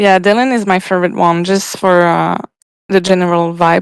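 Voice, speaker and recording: A woman speaks with a French accent in a medium-pitched voice. Her intonation is fairly even, and the sound is dry and close with no echo. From Quebec, Canada. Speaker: guest, music fan. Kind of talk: casual chat. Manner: halting, many fillers.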